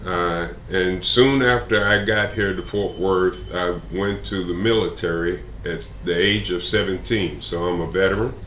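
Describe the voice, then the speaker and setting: Against noticeable background noise and audible room echo, a man with an American accent speaks at a fairly slow pace in a very deep, low pitch with ordinary pitch variation. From Texas (Plano). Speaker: political candidate. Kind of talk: interview. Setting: live stream. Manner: halting, many fillers.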